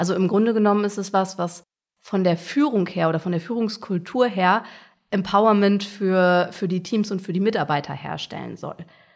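An ordinary speaking voice with ordinary pitch variation, at a moderate pace. The recording is very clean, with a silent background. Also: woman, medium pitch for a woman. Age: 30s. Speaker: agile coach. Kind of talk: interview.

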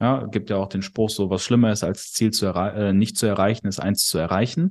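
In a quiet background, a man with a normal speaking voice talks at a moderate pace and a fairly low pitch. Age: 20s. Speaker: sales company CEO. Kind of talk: casual chat. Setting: at host's kitchen table.

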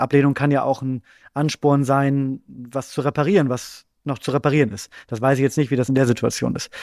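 A man's fairly high pitch in a plain, everyday voice, fairly even intonation and a fairly quick pace, on a very clean recording with a silent background and a dry, close sound with no echo. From Bremen, northern Germany. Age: 30s. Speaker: comedy writer. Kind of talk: casual chat.

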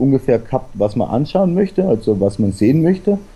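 A man's dark, mellow tone with lively intonation. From South Tyrol. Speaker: travel blogger. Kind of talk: casual interview.

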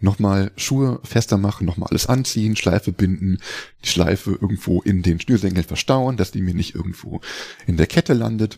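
A man with a normal speaking voice and fairly low pitch uses ordinary pitch variation, recorded with a dry, close sound with no echo. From Lower Saxony, Germany (Hildesheim, near Hanover). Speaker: life coach and mountain bike guide. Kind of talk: interview.

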